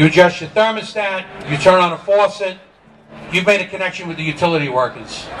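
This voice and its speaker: Speech with a New York accent over noticeable background noise. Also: man. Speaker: union leader. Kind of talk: rally speech. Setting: outdoor rally with crowd. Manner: extemporaneous, unscripted; animated.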